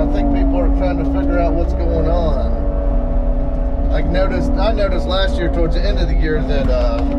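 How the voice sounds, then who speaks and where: A man talking with hardly any pauses over loud background noise. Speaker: excavation contractor. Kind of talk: casual vlog chat. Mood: reflective, slightly worried about work. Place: farm machine. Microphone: phone near.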